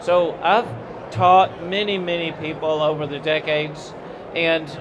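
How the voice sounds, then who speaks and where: Over noticeable background noise, a man with a high voice speaks with fairly even intonation. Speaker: guest. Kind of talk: interview answer, preaching tone. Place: hall. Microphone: handheld.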